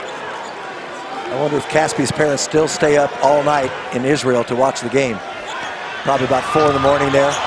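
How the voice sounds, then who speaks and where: A man speaks in an animated tone at a moderate pace. There is noticeable background noise. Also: fairly high pitch for a man, ordinary pitch variation. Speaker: color commentator. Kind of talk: live basketball commentary. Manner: analytical, conversational, animated.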